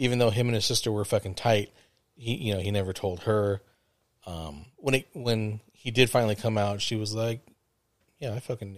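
A man talks at a moderate pace in a normal speaking voice. His pitch is fairly low, with ordinary pitch variation. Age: 40s. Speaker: podcast host. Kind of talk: casual chat.

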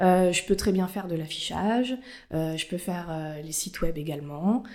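A woman speaks in a normal speaking voice, fairly low, with ordinary pitch variation. The recording is very clean, with a silent background. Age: 20s. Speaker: corporate communications officer. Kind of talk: interview.

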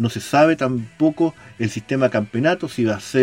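A man with an ordinary speaking voice talks at a fairly slow pace. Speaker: online radio host of a football fan show. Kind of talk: casual radio talk and interview.

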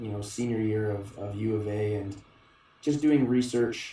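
A man with a Canadian accent speaks at a fairly low pitch in a monotone, flat intonation, with audible room echo. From Alberta, Canada. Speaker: strength coach. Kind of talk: casual interview.

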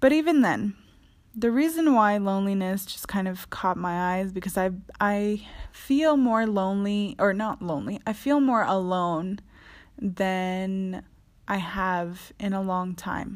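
Speaking fairly slowly, a woman has a normal speaking voice at a medium pitch with ordinary pitch variation. The recording is very clean, with a silent background. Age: 20s. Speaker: podcast host. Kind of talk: solo podcast monologue. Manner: casual, frequent laughter.

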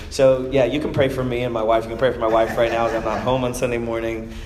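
Medium in pitch, a man talks at a very fast pace. Noticeable background noise and audible room echo surround him. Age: 30s. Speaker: preacher. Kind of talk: sermon.

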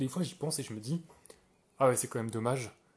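The speaker is a man with a medium pitch and ordinary pitch variation. His voice is somewhat breathy. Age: 20s. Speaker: podcaster. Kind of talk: casual monologue. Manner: hesitant, many fillers.

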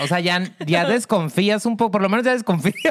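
A woman speaks at a medium pitch in an animated tone. Her intonation is lively. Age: 30s. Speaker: podcast co-host, therapist. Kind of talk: casual chat.

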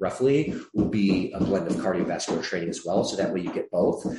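There is audible room echo. A man's voice is heard within it. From US Midwest (Michigan), born in Atlanta, Georgia. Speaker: fitness franchise CEO. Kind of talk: interview.

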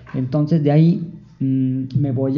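A man's fairly even intonation carries over audible room echo. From Jalisco, Mexico. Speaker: librarian for the visually impaired, blind. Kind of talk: interview. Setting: library studio.

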